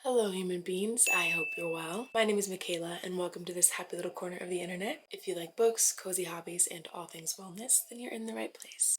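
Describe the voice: Using a raspy, put-on character voice, a woman speaks at a medium pitch in a calm, soothing tone, moving at a fairly quick pace with hardly any pauses.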